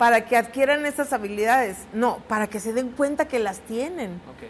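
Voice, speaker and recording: Against noticeable background noise, a woman with a high pitch and ordinary pitch variation talks at a fairly slow pace. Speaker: politician, head of a state women's institute. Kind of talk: interview. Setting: studio.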